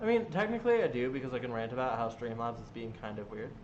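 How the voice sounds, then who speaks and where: A man speaks at a fairly quick pace, his pitch medium with ordinary variation. Audible room echo surrounds his voice. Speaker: gaming streamer. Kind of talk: live stream Q&A chat. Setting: home live stream. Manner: loud; animated.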